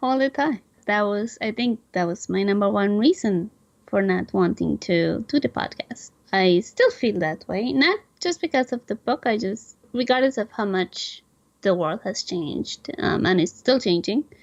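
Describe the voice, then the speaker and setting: At a moderate pace, a woman talks with lively intonation and a medium pitch in a dry, close sound with no echo. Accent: non-native. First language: not English. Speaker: podcast co-host, novelist. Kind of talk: casual interview chat.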